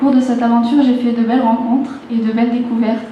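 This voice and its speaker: A fairly high-pitched woman at a fairly quick pace, monotone and flat, with audible room echo and noticeable background noise. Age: 20s. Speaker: beauty pageant contestant. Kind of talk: prepared stage speech. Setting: stage with audience.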